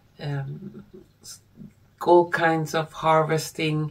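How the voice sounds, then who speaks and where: A woman speaks at a very deep, low pitch. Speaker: tarot card reader. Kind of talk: casual vlog chat. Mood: calm, earnest.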